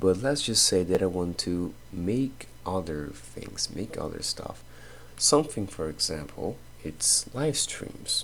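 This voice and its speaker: Very deep and low in pitch, a man speaks in a Portuguese accent with vocal fry. His pitch swings very widely, and his pace is fairly slow. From Brazil. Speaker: content creator. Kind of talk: casual talk while drawing. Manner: halting.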